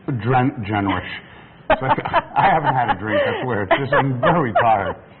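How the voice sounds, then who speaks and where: With an American accent, a man speaks at a moderate pace over noticeable background noise. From New York. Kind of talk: TV shopping pitch.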